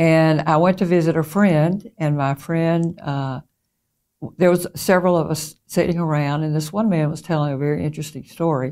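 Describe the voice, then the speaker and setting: Her voice is very deep and low, with a dark, mellow tone. The woman keeps a moderate pace and fairly even intonation. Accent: Southern US. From US South, Mississippi. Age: 70s. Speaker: interviewee sharing spiritual experiences. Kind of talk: personal testimony. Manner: hesitant with frequent fillers.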